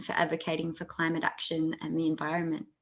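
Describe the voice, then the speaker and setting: The speaker is a woman with an Australian accent. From Tasmania, Australia. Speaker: interviewer for an activist group. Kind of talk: interview. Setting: video call. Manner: hesitant, many fillers.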